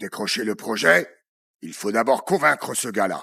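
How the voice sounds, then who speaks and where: In a put-on character voice, a man speaks raspily at a medium pitch and moderate pace, with lively intonation and big swings in loudness. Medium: voice reel. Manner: authoritative.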